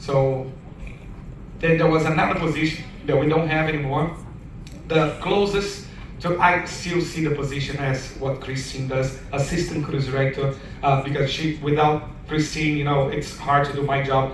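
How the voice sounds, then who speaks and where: A man's fairly high voice with a non-native accent and fairly even intonation, amid audible room echo and noticeable background noise. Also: moderate pace. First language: not English. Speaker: cruise director. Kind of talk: audience Q and A, personal storytelling.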